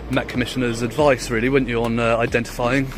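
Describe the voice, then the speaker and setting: A man in a British accent speaks with monotone, flat intonation amid noticeable background noise and audible room echo. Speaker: filming auditor. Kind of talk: confrontation with police. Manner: calm.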